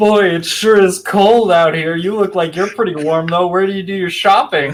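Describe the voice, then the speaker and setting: A man's put-on character voice, high-pitched, at a moderate pace. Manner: passive aggressive, falsely polite.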